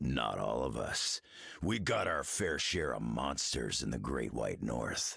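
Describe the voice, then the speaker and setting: Growling in a put-on character voice, a man speaks very deep and low at a fairly slow pace, his intonation lively and his loudness very even. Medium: video game. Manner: gruff, blunt.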